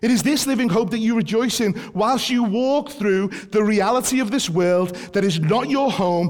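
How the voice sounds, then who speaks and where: A man speaks at a moderate pace with a British accent. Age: 40s. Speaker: preacher. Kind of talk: sermon.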